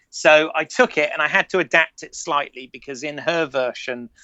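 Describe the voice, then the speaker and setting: With a British accent, a man talks at a moderate pace, his intonation fairly even. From Britain. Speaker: filmmaker and podcast co-host. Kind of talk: casual chat. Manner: halting, many repeated words.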